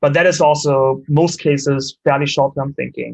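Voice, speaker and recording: Here a man speaks with a German accent and a fairly high pitch. His voice is somewhat breathy, at a moderate pace. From Germany. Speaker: startup co-founder and CEO. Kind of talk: interview.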